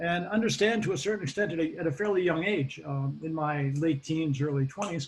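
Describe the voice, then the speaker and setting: A man with a Boston accent at a fairly high pitch and a fairly quick pace. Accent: American Boston. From US Northeast, Boston area (Massachusetts). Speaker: occupational safety expert. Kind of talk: interview. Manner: hesitant, many fillers.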